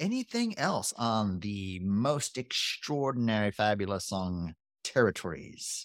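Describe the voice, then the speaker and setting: A man speaks at a fairly slow pace in a fairly low pitch with ordinary pitch variation. It is a plain, everyday voice, in a very clean recording with a silent background. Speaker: podcast host. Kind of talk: casual chat.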